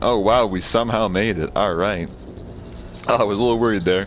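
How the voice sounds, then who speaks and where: A man talks in a fairly low voice. Noticeable background noise sits behind him. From Canada. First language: French. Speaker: video game streamer. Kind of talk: live gameplay stream chat. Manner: halting, many fillers.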